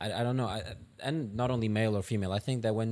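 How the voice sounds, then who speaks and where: A man with a non-native accent keeps a fairly even intonation in a very clean recording with a silent background. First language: not English. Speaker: podcast host. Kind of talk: interview conversation. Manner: halting.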